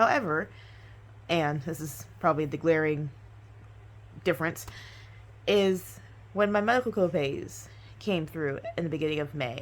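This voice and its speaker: A woman's voice sits very deep and low, with vocal fry. She keeps a moderate pace and ordinary pitch variation. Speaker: YouTuber sharing personal budget. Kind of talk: casual monologue budget recap. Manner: hesitant, many ums and pauses.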